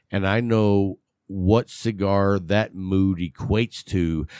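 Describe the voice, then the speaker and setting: Against a quiet background, with a dry, close sound and no echo, a man speaks at a very slow pace. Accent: West Texas. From West Texas. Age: 50s. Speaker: cigar show host. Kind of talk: casual chat. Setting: home studio, video. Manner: joking, sarcastic.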